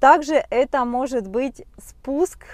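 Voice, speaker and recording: Over a quiet background, a woman speaks with ordinary pitch variation in a dry sound with no echo. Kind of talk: informational talk to camera. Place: car. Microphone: lapel.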